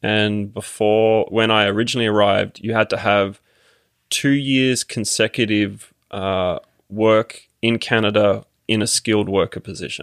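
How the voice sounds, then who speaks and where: On a very clean recording with a silent background, a man speaks at a fairly low pitch and a fairly slow pace, his monotone, flat intonation in a dry, close sound with no echo. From Australia, Sydney. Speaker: immigrant sharing citizenship experience. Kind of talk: casual interview conversation. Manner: halting, many fillers.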